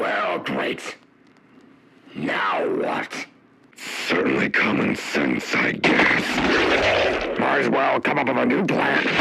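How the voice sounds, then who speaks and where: In a growling, put-on character voice, a man speaks at a very slow pace with long, frequent pauses. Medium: audio drama. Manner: sardonic, scheming.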